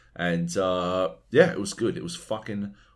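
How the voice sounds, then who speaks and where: With an Australian accent, the speaker moves at a very slow pace through very wide pitch swings. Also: man. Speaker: podcast host. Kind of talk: casual chat.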